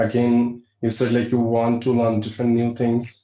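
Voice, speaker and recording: With an American accent, a man speaks at a medium pitch in a dark, mellow tone. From India, Uttarakhand. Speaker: English teacher. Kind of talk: interview.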